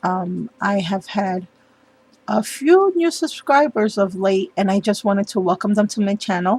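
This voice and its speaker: The speaker is a woman with a somewhat breathy quality. Her pitch is medium. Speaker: papercraft youtuber. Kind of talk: tutorial. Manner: hesitant, many ums.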